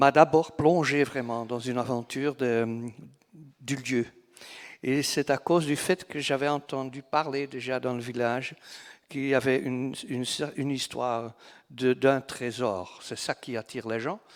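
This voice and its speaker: A man speaks at medium pitch and a fairly slow pace. His intonation stays fairly even, broken by long, frequent pauses. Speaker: novelist. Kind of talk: literary festival talk. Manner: halting, repeats words.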